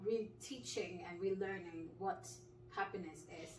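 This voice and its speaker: Lively intonation comes at a fairly slow pace, with audible room echo. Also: woman. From Nigeria. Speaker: clinical pharmacist. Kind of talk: casual interview.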